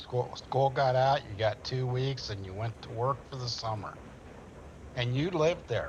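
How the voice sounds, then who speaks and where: This man has a medium pitch and a somewhat breathy voice. He speaks at a moderate pace. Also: ordinary pitch variation. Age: 60s. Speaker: gamer. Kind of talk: casual chat.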